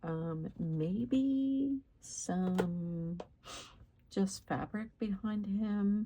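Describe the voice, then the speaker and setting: A woman talks at a very slow pace in a somewhat breathy voice with a dark, mellow tone. Her pitch is medium, with ordinary pitch variation. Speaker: crafting YouTuber. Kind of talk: tutorial. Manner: casual with frequent fillers.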